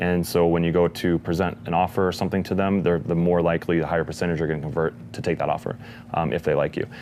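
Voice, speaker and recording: At a very fast pace, a man with a very deep, low pitch speaks with fairly even intonation. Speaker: online marketing expert. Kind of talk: interview.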